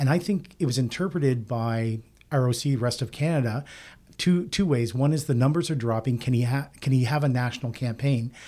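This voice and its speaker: Speaking at a fairly quick pace, a man has a dark, mellow tone at a medium pitch, with ordinary pitch variation and very even loudness. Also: very clean recording, silent background. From Nova Scotia. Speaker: political pundit. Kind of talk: panel discussion.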